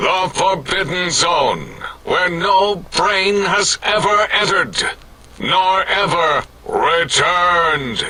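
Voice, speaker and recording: A man's put-on character voice, high in pitch, at a very slow pace over light background noise. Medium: video game. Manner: melodramatic.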